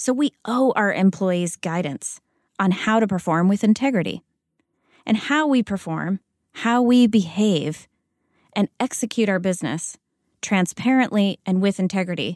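A woman with an American accent has a plain, everyday voice at a medium pitch, with ordinary pitch variation and a moderate pace. The sound is dry and close with no echo, a very clean recording with a silent background. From United States. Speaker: corporate integrity officer. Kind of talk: interview.

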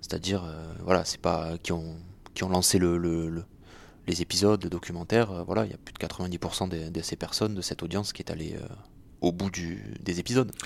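Long, frequent pauses break up speech at a moderate pace with fairly even intonation, on a very clean recording with a silent background. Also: man, very deep, low pitch for a man. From southern France, Béziers. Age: 20s. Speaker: podcast producer, former reporter. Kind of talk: interview.

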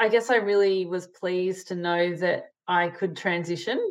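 A woman with an Australian accent speaks at a fairly slow pace, her medium-pitched voice keeping a fairly even intonation. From Sydney, Australia (eastern suburbs). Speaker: manufacturing leader and scientist. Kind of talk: interview conversation.

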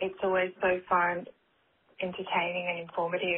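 Delivery is monotone, with flat intonation, at a moderate pace. The speaker has an Australian accent. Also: woman. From Australia, Sydney. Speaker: caller. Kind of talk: voicemail.

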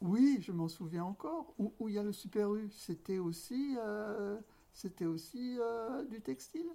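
A woman speaks very slowly in a fairly high voice, with very wide swings in pitch. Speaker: textile shop owner. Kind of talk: interview. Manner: halting.

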